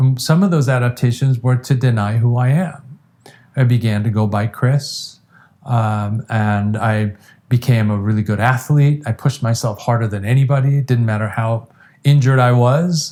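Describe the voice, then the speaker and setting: A man's somewhat breathy, dark and mellow voice at medium pitch, with an American accent and ordinary pitch variation. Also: moderate pace. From Iran, then US from age ten. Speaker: addiction treatment specialist. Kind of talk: interview conversation.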